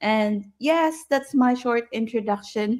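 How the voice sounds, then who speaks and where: A woman talks very slowly, her intonation lively. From Philippines, Ilocos. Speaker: nurse and digital business owner. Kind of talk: live webinar introduction.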